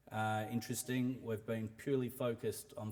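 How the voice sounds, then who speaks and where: A man speaks with an Australian accent. His moderate pace carries monotone, flat intonation. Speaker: mining company CEO. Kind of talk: investor presentation. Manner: hesitant, many fillers.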